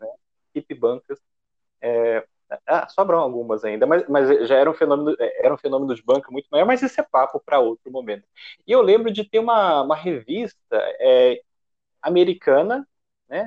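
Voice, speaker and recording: With a fairly high pitch, a man's voice takes very wide pitch swings, broken by long, frequent pauses. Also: moderate pace. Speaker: podcast host. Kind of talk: casual chat.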